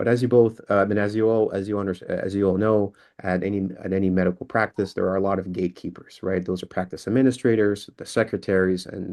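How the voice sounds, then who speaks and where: Fairly low in pitch, a man talks at a fairly quick pace. His intonation stays flat and monotone. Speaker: LinkedIn sales consultant. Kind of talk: presentation with screen demo. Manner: halting, many fillers and restarts.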